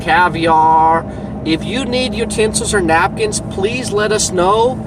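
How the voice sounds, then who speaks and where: Speaking very slowly, a man uses a high pitch. Noticeable background noise and audible room echo surround him. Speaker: delivery driver vlogger. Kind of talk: casual vlog monologue. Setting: in a car. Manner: loud.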